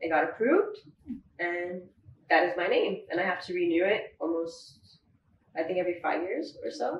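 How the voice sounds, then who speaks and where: A woman with an American accent at a moderate pace, long and frequent pauses, and audible room echo. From US West Coast (San Fernando Valley, LA); California. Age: 20s. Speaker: baker and business owner; guest. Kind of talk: interview. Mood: friendly, relaxed. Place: home room.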